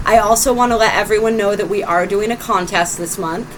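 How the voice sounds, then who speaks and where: A woman speaks at a fairly quick pace with ordinary pitch variation over noticeable background noise. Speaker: tarot reader. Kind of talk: tarot reading. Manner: loud.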